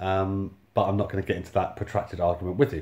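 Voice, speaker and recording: The voice is somewhat breathy with a dark, mellow tone, delivered at a very fast pace in a monotone with flat intonation. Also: man. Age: 30s. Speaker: YouTuber and homeless-sector housing worker. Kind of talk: casual storytelling monologue. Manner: halting, many fillers. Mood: wry, exasperated storytelling. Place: home room. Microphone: phone near.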